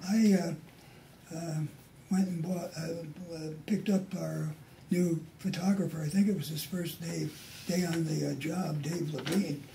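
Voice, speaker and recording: Amid noticeable background noise and audible room echo, a man speaks at a fairly slow pace in a high pitch with fairly even intonation. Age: 60s. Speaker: retired TV newsman. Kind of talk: casual chat.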